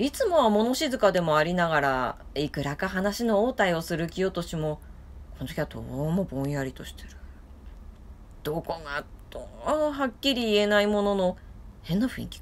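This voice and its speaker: A woman at a moderate pace, with very wide pitch swings and big swings in loudness. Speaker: storyteller. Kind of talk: storytelling reading. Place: home room. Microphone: phone near.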